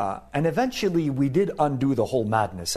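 With lively intonation and a normal speaking voice, a man talks at a fairly quick pace. The background is quiet. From Canada. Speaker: professor. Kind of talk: casual chat. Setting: studio.

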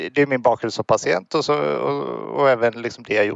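A man talks at a fairly quick pace. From Sweden, Gothenburg area. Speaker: patient advocate. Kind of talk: interview.

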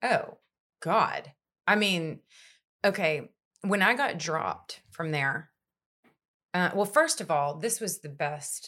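A woman's fairly low voice in an East Texas accent, bright and sharp in tone, on a very clean recording with a silent background. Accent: East Texas Southern US. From East Texas, Longview. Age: 20s. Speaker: country singer-songwriter and radio host. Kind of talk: casual chat. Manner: animated.

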